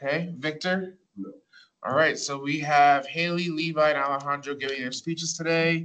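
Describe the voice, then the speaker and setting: Speaking at a moderate pace, a man with a fairly high pitch uses a bright, sharp tone and fairly even intonation. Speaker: student government leader. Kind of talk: meeting facilitation. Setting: meeting room. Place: meeting room. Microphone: camera far.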